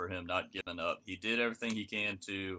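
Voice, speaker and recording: Against a quiet background, a man with a Southern accent speaks at a moderate pace in a bright, sharp tone. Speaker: NASCAR podcast co-host. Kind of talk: casual chat. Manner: halting.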